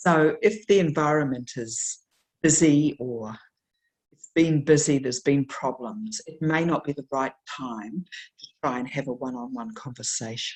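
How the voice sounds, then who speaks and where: Lively in intonation, a woman with a New Zealand accent speaks at a very deep, low pitch. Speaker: nurse educator. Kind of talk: lecture. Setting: webinar. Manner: slow, deliberate articulation.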